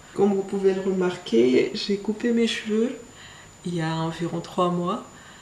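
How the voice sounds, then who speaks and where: A woman with a Mayotte accent talks at a fairly slow pace, her medium pitch showing ordinary variation. Noticeable background noise and audible room echo fill the recording. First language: Shimaore (speaking French). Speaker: beauty vlogger. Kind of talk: casual vlog. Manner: hesitant, many fillers.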